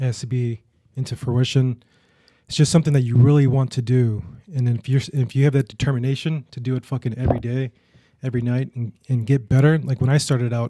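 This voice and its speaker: A man's dark, mellow, somewhat breathy voice at medium pitch, monotone and flat, at a very fast pace, dry and close with no echo. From US Midwest. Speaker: photographer. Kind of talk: casual chat. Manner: soft-spoken.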